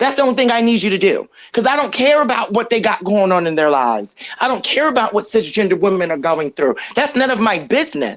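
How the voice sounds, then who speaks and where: A woman's very fast, animated delivery, fairly high in pitch with very wide swings, vocal fry, and very even loudness. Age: 30s. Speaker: podcast co-host. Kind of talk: heated debate.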